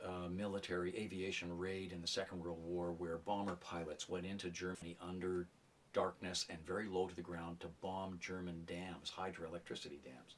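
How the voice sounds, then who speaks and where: A man talks at a moderate pace in a very deep, low pitch. His intonation is monotone and flat. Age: 60s. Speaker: writer and retired journalism professor. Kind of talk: interview testimony.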